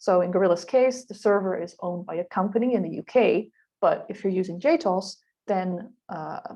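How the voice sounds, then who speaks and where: Ordinary pitch variation in a woman's dark, mellow tone. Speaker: webinar presenter, linguistics researcher. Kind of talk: tutorial. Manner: fast.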